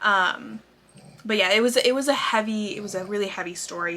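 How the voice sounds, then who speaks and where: A woman speaks at a moderate pace, with noticeable noise behind her. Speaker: book vlogger. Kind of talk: casual monthly reading wrap-up. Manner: casual with frequent fillers.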